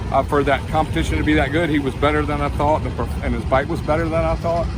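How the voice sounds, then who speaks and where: A man races along very fast, with audible room echo and noticeable background noise. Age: 60s. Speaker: retired drag racing champion and motorcycle racer. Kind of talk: interview.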